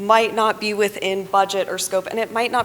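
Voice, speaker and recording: A woman talks at a fairly quick pace in a flat, monotone way, with noticeable background noise behind her. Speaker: water resources engineer. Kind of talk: conference presentation. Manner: fast.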